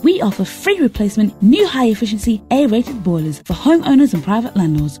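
Music plays in the background as a woman talks very fast. Her fairly high voice has very wide pitch swings. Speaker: voice actor. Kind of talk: radio commercial read. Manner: assured.

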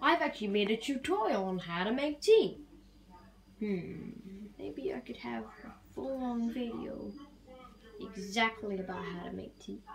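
Amid light background noise, a woman speaks at a fairly slow pace with lively intonation and long, frequent pauses. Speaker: puppet chef vlogger. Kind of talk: casual vlog chat. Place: kitchen. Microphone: phone near.

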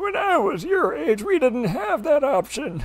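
Putting on a character voice, a man speaks at a moderate pace in an extremely high pitch that swings very widely. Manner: grumpy.

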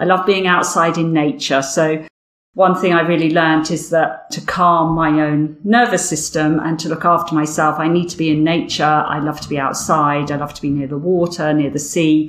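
A woman's very deep, low voice with fairly even intonation at a moderate pace, over noticeable background noise. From southern England (Windsor, Berkshire). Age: 50s. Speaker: Pilates instructor and patient community founder. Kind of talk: interview.

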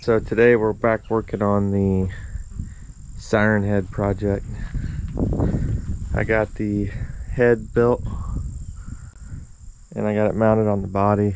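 The speech moves at a fairly slow pace with long, frequent pauses, over light background noise and a dry sound with no echo. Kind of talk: casual vlog chat. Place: garden. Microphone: phone near.

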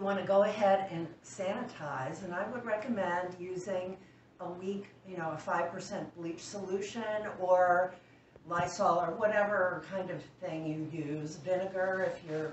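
A woman speaks at a fairly slow pace with ordinary pitch variation, audible room echo and light background noise. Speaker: canning demonstrator. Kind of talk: tutorial. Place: kitchen.

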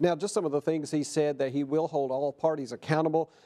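Fairly even in intonation, a man speaks with a dark, mellow tone. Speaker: TV news anchor and reporter. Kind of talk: TV news anchor/reporter delivery. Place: studio. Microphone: lapel.

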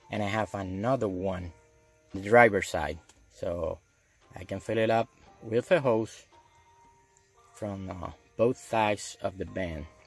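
With faint music in the background and a dry sound with no echo, a man speaks at a fairly low pitch and fairly slow pace, with ordinary pitch variation and long, frequent pauses. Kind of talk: tutorial. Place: car. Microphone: phone near.

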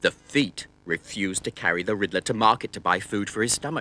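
Reading in a natural voice

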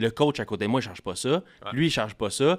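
Lively intonation marks a man speaking at a very fast pace and medium pitch. The background is quiet. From Quebec. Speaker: marketing expert for coaches. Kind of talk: casual chat. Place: studio. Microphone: studio mic.

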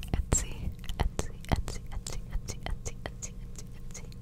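She speaks in a whisper. Her voice is soft-spoken. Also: fairly quick pace. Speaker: ASMR creator. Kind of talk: ASMR trigger-word repetition, soft whisper. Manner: soft close-mic repeated whisper. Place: home room. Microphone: studio mic.

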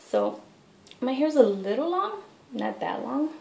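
A woman at a moderate pace, with audible room echo. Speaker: head wrap tutorial vlogger. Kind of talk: tutorial. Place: bathroom. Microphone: webcam.

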